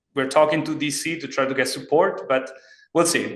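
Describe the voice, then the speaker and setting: There is audible echo in the room as a man speaks at a fairly quick pace. His intonation is fairly even. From Italy. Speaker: startup CEO and engineer. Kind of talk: podcast interview. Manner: halting.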